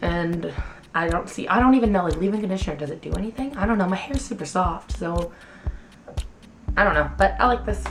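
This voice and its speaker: Music plays in the background as a woman speaks at a very fast pace, broken by long, frequent pauses, with audible room echo. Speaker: beauty vlogger. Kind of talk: casual chat. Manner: animated.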